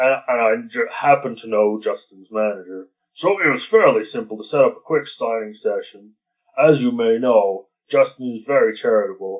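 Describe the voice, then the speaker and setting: A man puts on a character voice, keeping a medium pitch and a moderate pace. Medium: read story. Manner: folksy, hesitant, stammering.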